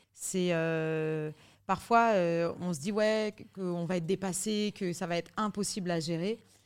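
A woman's fairly low voice at a very slow pace, on a very clean recording with a silent background. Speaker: singer and fitness/life coach. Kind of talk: casual interview chat. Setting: hotel in Paris. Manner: animated, big laugh.

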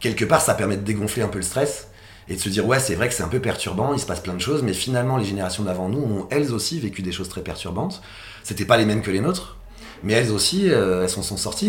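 Audible room echo and noticeable background noise surround a man's fairly low voice. He speaks at a fairly quick pace with lively intonation. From Paris region, France. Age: 40s. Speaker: social economy entrepreneur, fashion industry federation leader. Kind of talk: interview. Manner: halting, many fillers and repetitions.

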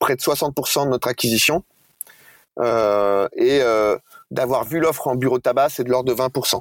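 This man has an ordinary speaking voice, with medium pitch, moderate pace, ordinary pitch variation, and a dry, close sound with no echo. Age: 40s. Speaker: bank executive. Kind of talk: interview.

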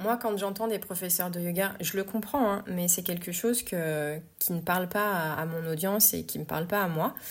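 A woman's medium-pitched voice at a moderate pace, with hardly any pauses, ordinary pitch variation and a very clean recording with a silent background. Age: 40s. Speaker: yoga teacher and podcast host. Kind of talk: personal monologue podcast. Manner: hesitant, many filler words.

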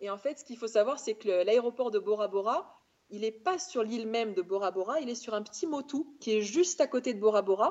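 With lively intonation, a normal speaking voice keeps a fairly quick pace. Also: woman, fairly high pitch for a woman. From France, Auvergne (Clermont-Ferrand). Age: 30s. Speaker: travel blogger. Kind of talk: casual chat.

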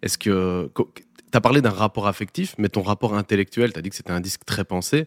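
Speaking at a fairly quick pace with ordinary pitch variation, a man comes through in a very clean, dry, close recording with no echo and a silent background. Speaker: podcast co-host. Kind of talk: scripted narration; casual chat.

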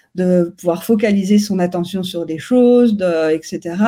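Somewhat breathy, a woman speaks with a dark, mellow tone and ordinary pitch variation. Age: young. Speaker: neuroscience researcher. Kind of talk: interview. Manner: halting.

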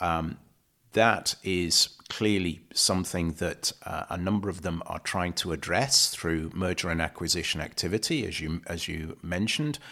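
In a British accent, a man speaks at a moderate pace with a very deep, low pitch and a bright, sharp tone. His pitch varies normally, and the recording is very clean with a silent background. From UK. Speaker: supply chain consultant. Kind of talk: interview.

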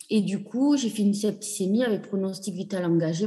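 A woman with a dark, mellow tone speaks at a medium pitch, somewhat breathy, with ordinary pitch variation. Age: 40s. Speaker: patient sharing her fertility journey. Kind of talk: testimony. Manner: halting.

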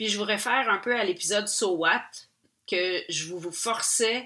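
A woman with a Quebec accent, medium-pitched and bright, sharp in tone, at a fairly slow pace with ordinary pitch variation, on a very clean recording against a silent background. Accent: Québécois French. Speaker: podcast host and painter. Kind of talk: personal storytelling monologue. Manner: casual, many hesitations.

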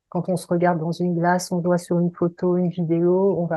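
A woman speaks at a moderate pace in a fairly low pitch, her intonation flat and monotone. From Paris region, France. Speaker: voice coach and singer. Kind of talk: interview.

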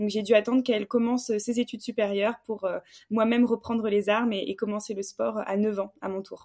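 Her voice is fairly high for a woman, with a dark, mellow tone, a monotone, flat delivery and a fairly quick pace. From southwestern France, Bordeaux. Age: 20s. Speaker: fencer and entrepreneur. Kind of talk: casual interview.

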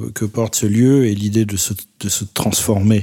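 A man with a fairly low pitch talks at a very slow pace with ordinary pitch variation over noticeable background noise. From Paris, France. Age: 40s. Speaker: photographer. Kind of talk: interview monologue. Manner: halting, many hesitations.

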